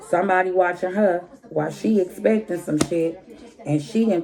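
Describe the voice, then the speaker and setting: Against noticeable background noise, an animated voice moves at a moderate pace with ordinary pitch variation. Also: woman. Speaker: tarot reader. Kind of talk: tarot reading.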